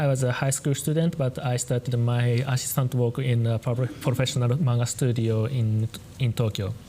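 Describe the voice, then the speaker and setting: Against noticeable background noise, a man at medium pitch speaks at a moderate pace with fairly even intonation and very even loudness. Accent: Japanese. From Japan. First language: Japanese. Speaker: painter and manga artist. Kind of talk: talk with interpreter. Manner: halting.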